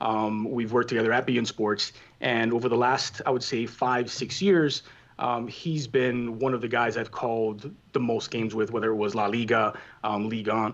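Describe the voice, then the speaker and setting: Speaking at a moderate pace in a Spanish accent, a man keeps his medium pitch fairly even. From Cuba, raised in Miami. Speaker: soccer play-by-play commentator. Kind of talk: casual interview.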